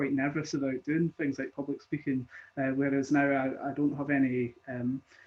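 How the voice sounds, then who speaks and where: This man speaks at a fairly high pitch with a slight Scottish accent. His intonation is monotone and flat. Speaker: conference organizer. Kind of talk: panel discussion.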